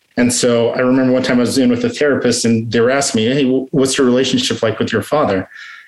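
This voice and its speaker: Over noticeable background noise, a man with an American accent and a medium pitch speaks at a very fast pace, with hardly any pauses and very even loudness. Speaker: recovering addict sharing story. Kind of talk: testimony. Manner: halting.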